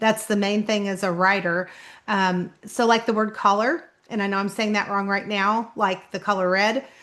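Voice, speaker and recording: A woman at medium pitch speaks at a moderate pace with a slight southern Kentucky accent and fairly even intonation. Her tone is bright and sharp over a quiet background. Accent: slight southern Kentucky-style twang. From Indianapolis, Indiana, US Midwest. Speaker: author. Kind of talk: casual vlog talk.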